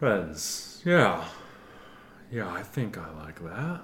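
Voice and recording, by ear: A man's put-on character voice, guttural and fairly low in pitch, with very wide pitch swings, a very slow pace, and clear background noise.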